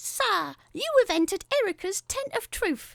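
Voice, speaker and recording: In a put-on character voice, a female-sounding speaker uses a strong South London accent at an extremely high pitch and a moderate pace. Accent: thick South London. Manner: theatrical, announcing.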